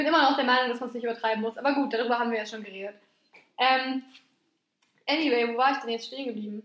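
Loud and high-pitched, a woman speaks at a very fast pace with fairly even intonation. She leaves long, frequent pauses. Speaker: podcast co-host. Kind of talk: casual chat.

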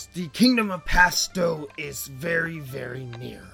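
Faint music plays in the background as a man does a gruff, put-on character voice at a high pitch. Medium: actual play. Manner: brisk, authoritative.

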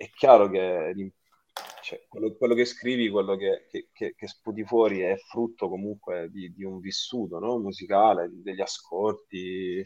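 A man with an ordinary speaking voice, fairly low in pitch, with fairly even intonation and big swings in loudness. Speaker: rock keyboardist. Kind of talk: casual interview chat.

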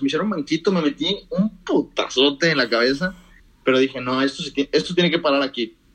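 A man speaks with ordinary pitch variation. His voice sits fairly high in pitch. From Mexico, moved between several cities (Mérida, Monterrey, Guadalajara). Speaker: economics student. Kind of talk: casual chat.

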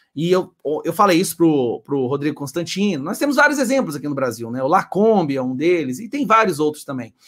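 A man with an ordinary speaking voice and a fairly high pitch talks at a fairly quick pace with lively intonation. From Goiás, Brazil. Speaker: political channel host. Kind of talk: casual chat.

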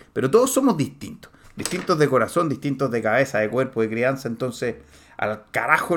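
A man talks at a fairly quick pace and medium pitch on a very clean recording with a silent background. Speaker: podcast host, personal development coach. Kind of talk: motivational monologue. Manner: animated; halting, many fillers.

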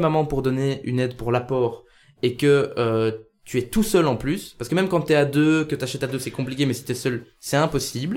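A man with a plain, everyday voice and fairly high pitch, at a fairly quick pace with ordinary pitch variation, in a very clean recording with a silent background. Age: 20s. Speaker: podcast host and youth political organizer. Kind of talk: casual chat. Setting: café.

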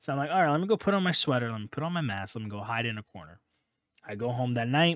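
Very fast speech comes from a man. Both his pitch and loudness swing widely. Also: medium pitch for a man. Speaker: podcast host. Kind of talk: casual chat.

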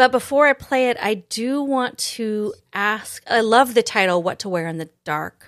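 In a very clean recording with a silent background, a woman with a fairly high pitch talks at a fairly slow pace with hardly any pauses, her animated tone carrying lively intonation and big swings in loudness. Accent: American. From Idaho, US. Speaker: podcast host and pianist. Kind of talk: interview conversation.

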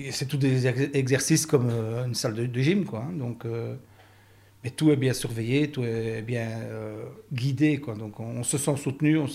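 The man's medium-pitched voice is somewhat breathy and shows ordinary pitch variation. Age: 60s. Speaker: heart surgery patient. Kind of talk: testimony. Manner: halting.

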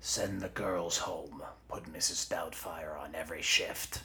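A man speaks at a fairly slow pace in a put-on character voice that is gruff and raspy, with clear background noise. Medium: audio drama. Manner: gruff, blunt.

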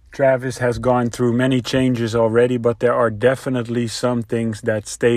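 Here a man speaks with a Dutch accent at a medium pitch and a fairly slow pace. The recording is very clean, with a silent background. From Netherlands. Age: 30s. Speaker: father sharing experiences. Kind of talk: personal reflection.

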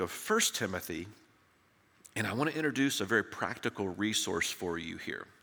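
A man with a Southern US accent, a bright, sharp tone, lively intonation and a moderate pace. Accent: Southern American. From US South, Tennessee. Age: 60s. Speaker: preacher. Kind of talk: sermon. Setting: church.

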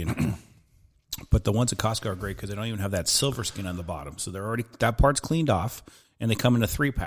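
Talking at a very fast pace, a man has a fairly low pitch, a somewhat breathy quality and ordinary pitch variation. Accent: American. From Southern California. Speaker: barbecue enthusiast. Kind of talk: casual chat.

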